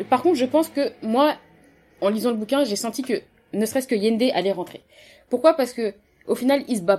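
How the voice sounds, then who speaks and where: Fairly quick pace from a woman with a high pitch and ordinary pitch variation. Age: 20s. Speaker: pharmaceutical engineer, book discussion guest. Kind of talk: casual book discussion.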